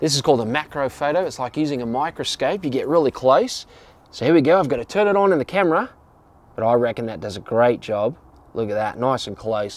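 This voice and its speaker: A man at a very fast pace with very wide pitch swings, dry sound with no echo and music in the background. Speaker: camera reviewer. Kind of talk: tutorial. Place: garden.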